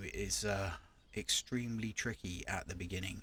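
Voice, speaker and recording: A man's normal speaking voice, fairly low in pitch with ordinary pitch variation, in a dry, close sound with no echo. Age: 50s. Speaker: gaming YouTuber. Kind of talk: casual gameplay commentary.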